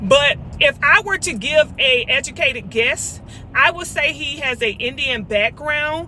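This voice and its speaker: Noticeable background noise surrounds a woman using a raised, projected voice at a high pitch. Her tone is animated and her intonation lively, while her pace stays fairly slow. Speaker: vlogger. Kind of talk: casual chat. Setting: in a car. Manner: loud.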